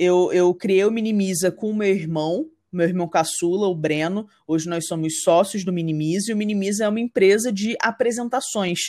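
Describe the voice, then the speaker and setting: In a very clean recording with a silent background, a woman speaks at medium pitch and a moderate pace, with ordinary pitch variation and a dark, mellow tone. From Rio de Janeiro state interior, Brazil. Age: 30s. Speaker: entrepreneur, marketing business founder. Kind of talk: podcast interview, casual chat.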